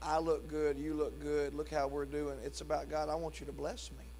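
At a fairly quick pace, a man speaks over light background noise. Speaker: pastor. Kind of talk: church service welcome, prayer and announcements; sermon. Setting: church. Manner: warm, casual, jovial. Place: church. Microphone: handheld.

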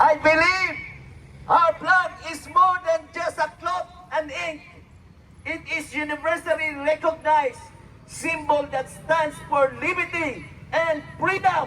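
Over background music, a man uses a raised, projected voice of extremely high pitch, speaking very slowly with fairly even intonation. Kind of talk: rally speech reading out patriotic quotes in English, like a prepared oration. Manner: formal, measured, declamatory, delivered with solemn oratorical emphasis.

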